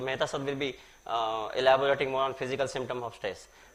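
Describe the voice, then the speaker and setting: A man speaks with a bright, sharp tone. His pitch sits fairly high. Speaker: conference speaker. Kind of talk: lecture.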